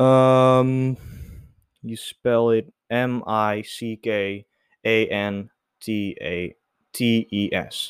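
A man speaks very slowly with fairly even intonation and long, frequent pauses. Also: medium pitch for a man, dry, close sound with no echo, very clean recording, silent background. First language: not English. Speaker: solo podcaster. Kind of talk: casual solo monologue. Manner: halting, many fillers.

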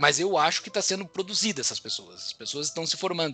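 The man's voice sits at a high pitch. His intonation is lively. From southern Brazil, Rio Grande do Sul. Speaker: finance executive and podcaster. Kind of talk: casual interview chat. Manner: hesitant with frequent fillers.

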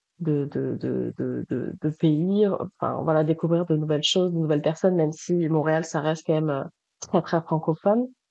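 A woman talks at a fairly low pitch. Her intonation stays fairly even. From southern France, Toulouse. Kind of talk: interview. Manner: halting, many fillers and repetitions.

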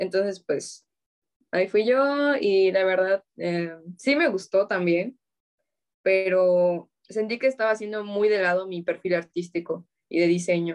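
A woman with a Mexican accent, ordinary pitch variation, and long, frequent pauses. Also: medium pitch for a woman. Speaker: university student. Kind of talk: casual chat. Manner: stutters.

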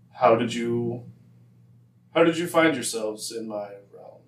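A man puts on a booming character voice at medium pitch, speaking at a fairly slow pace with slight echo. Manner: commanding, otherworldly.

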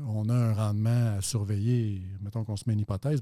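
A man with a Quebec accent speaks at medium pitch and a moderate pace, in a dark, mellow tone. The recording is very clean, with a silent background. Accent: Québécois French. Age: 50s. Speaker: financial advisor and actuary. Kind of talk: interview.

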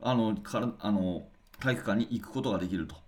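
The speaker is a man with vocal fry. He keeps up a fairly quick pace. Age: 40s. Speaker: basketball coach and podcast host. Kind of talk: solo radio talk.

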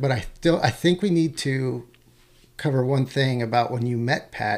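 A normal speaking voice in an American accent, with ordinary pitch variation at a moderate pace. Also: man. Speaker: podcast host; army ranger. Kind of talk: casual interview chat.

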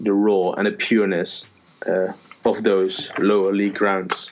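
A man speaks at a fairly slow pace with a fairly low pitch. Noticeable background noise runs behind him. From Netherlands. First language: Dutch. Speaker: lifestyle blogger. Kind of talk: casual chat. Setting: call recording. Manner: halting.

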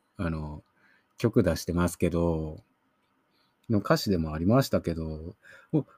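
A man with a very deep, low, somewhat breathy voice speaks in a dark, mellow tone at a moderate pace. The sound is dry and close with no echo, and his pauses are long and frequent. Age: 30s. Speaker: film review podcaster. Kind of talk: solo film review monologue. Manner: casual, hesitant with many fillers.

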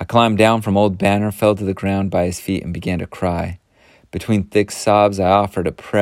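This is reading aloud in a natural voice, with fairly even intonation.

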